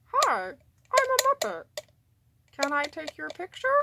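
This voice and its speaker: A woman does a put-on character voice at an extremely high pitch. Her pace is moderate. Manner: playful, cheerful.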